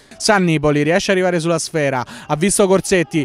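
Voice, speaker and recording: An excited man speaks at a very fast pace. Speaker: football commentator. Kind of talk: live football commentary, play-by-play radio style. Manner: fast, breathless, rapid-fire delivery; excited, rising intensity at chances and goals.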